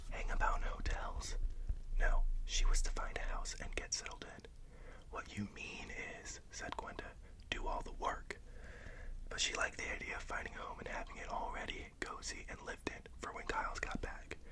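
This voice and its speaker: Whispering in a relaxed tone at a moderate pace, the speaker leaves long, frequent pauses amid noticeable background noise. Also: man. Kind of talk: audiobook-style reading, ASMR. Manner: soft-spoken, relaxed, whispery.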